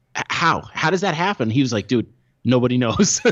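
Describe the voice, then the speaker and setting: Speaking at a fairly quick pace, a man with an unremarkable speaking voice and medium pitch uses lively intonation. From Long Island, New York. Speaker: artist and designer. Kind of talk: casual chat.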